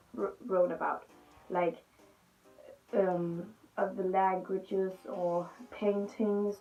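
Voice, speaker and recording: Music plays in the background as a woman with a Danish accent speaks. Her pitch is medium and her pace very slow. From Denmark. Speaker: youtuber. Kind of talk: storytelling vlog. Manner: halting.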